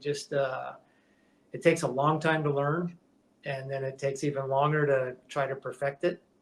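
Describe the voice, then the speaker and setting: Somewhat breathy and fairly high, a man with an American accent speaks in a monotone, flat delivery with big swings in loudness. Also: moderate pace. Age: 60s. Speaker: metal shaper, custom shop owner. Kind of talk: podcast interview. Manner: halting, many fillers and restarts; casual, conversational.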